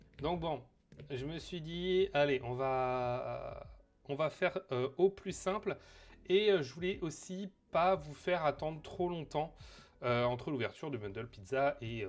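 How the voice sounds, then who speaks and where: Talking at a very slow pace, a man leaves long, frequent pauses. His fairly high voice has lively intonation. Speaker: streamer. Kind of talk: casual live stream chat. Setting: home live stream on camera. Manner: hesitant, many fillers.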